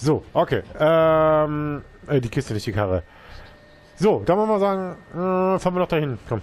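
A man's fairly high voice at a moderate pace, with very wide swings in pitch. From eastern Germany, near Leipzig. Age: 30s. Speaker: gaming YouTuber. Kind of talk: let's play commentary. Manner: casual, chatty.

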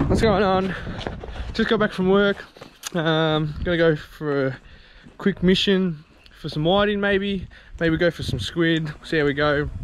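A man talks at a fairly slow pace in a high pitch. He leaves long, frequent pauses over light background noise. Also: ordinary pitch variation, dry sound with no echo. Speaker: fishing vlogger. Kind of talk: casual vlog chat. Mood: relaxed, upbeat. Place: garden. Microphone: phone near.

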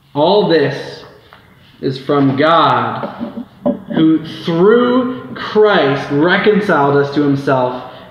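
A man at a very slow pace with lively intonation, music in the background and audible room echo. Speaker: preacher. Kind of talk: scripture reading in a sermon. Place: church. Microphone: camera far.

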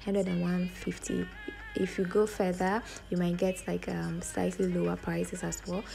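A woman at a moderate pace, with clear music in the background. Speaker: travel vlogger. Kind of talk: casual vlog chat. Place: station. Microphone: phone near.

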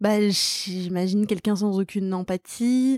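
A woman's voice, a normal speaking voice, medium in pitch with ordinary pitch variation, dry and close with no echo, on a very clean recording with a silent background. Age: 30s. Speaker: stand-up comedian and screenwriter. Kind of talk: casual chat.

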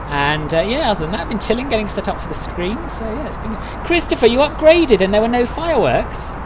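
High-pitched male speech in a London accent at a very fast pace, with very wide pitch swings, big swings in loudness, audible room echo and noticeable background noise. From London, England. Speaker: flight sim streamer. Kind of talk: live stream chat. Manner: casual, frequent fillers.

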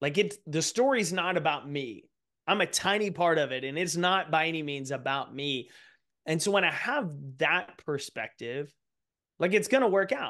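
A man speaks at a moderate pace with a high pitch and lively intonation. His tone is bright and sharp against a quiet background. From East Texas. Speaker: author and speaker; speaker. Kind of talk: interview conversation. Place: home room. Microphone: studio mic.

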